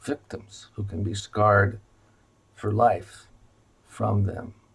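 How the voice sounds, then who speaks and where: A man speaks very slowly in a monotone, flat delivery. His fairly low voice is somewhat breathy. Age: 70s. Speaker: retired physician. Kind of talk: informational video presentation. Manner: halting with many fillers.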